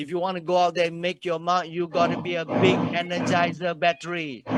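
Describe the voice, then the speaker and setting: A man speaks at a moderate pace. His voice sits high in pitch. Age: 60s. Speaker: motivational speaker. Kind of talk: motivational talk. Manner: animated.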